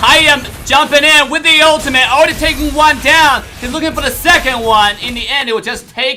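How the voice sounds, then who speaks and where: With noticeable background noise behind him, a man uses a raised, projected voice at an extremely high pitch, animated in tone with ordinary pitch variation. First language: not English. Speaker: esports caster. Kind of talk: live commentary. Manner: fast.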